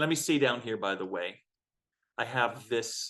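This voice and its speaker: Against a quiet background, a man with a normal speaking voice talks at a moderate pace and medium pitch. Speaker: music teacher. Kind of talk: lecture.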